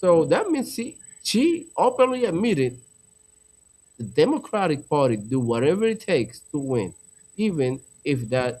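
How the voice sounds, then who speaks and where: A man with a non-native accent talks at a moderate pace in a fairly high voice, his pitch swinging very widely and his speech broken by long, frequent pauses. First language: not English. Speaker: political podcast host. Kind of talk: live stream commentary. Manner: animated.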